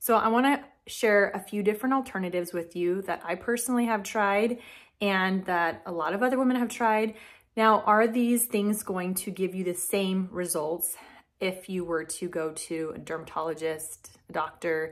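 At a moderate pace, a woman speaks with a fairly low pitch and fairly even intonation. She takes few pauses.

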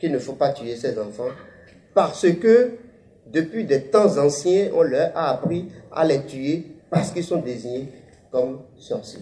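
Using a high pitch for a man and a dark, mellow tone, a man speaks at a very slow pace with lively intonation and long, frequent pauses. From Benin. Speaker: author. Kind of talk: interview statement; public talk. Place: hall. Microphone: handheld.

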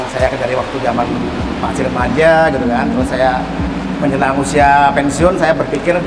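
Music plays behind the speaker. He is a man talking at a fairly quick pace. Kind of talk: interview answer. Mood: relaxed, nostalgic. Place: shop. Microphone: lapel.

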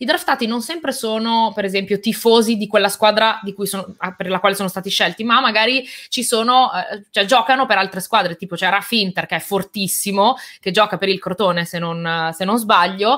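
A woman's tone is bright and sharp. She goes at a fairly quick pace against a quiet background. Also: ordinary pitch variation. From Italy, born in Albania, moved at age 4; Italy. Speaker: tech and gaming YouTuber, event presenter; interview guest, presenter. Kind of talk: casual interview chat. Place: home room.

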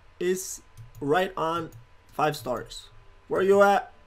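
Ordinary pitch variation in a man's voice. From abroad, a developing country. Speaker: gaming YouTuber. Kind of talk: gameplay commentary. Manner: casual, rambling.

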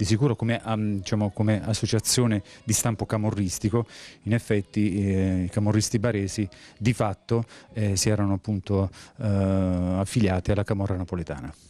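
The dry, echo-free sound carries a man's fairly low, dark and mellow voice with fairly even intonation. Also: moderate pace, very even loudness. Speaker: police officer and author. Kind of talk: interview. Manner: halting. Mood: calm, serious. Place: shop. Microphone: handheld.

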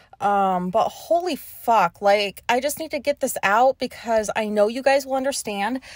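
A woman's voice comes through dry with no echo over a quiet background. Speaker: podcast host. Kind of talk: casual ranty podcast monologue. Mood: annoyed, venting. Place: car.

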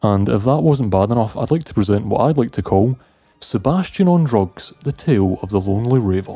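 Speaking at a fairly quick pace with an Scottish accent, a man uses a dark, mellow tone, fairly low pitch and lively intonation. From Scotland. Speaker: video game reviewer. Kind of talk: scripted review narration. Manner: casual.

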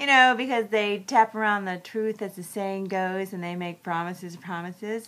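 This woman's voice has a bright, sharp tone. Her pitch varies in an ordinary way. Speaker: movie reviewer. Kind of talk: casual vlog review. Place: home room. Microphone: webcam.

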